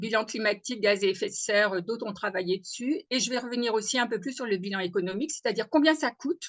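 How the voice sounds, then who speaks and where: Her pace is very fast. The woman's fairly high voice shows ordinary pitch variation. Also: hardly any pauses. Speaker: agronomist, webinar speaker. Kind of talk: webinar presentation. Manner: hesitant, many fillers.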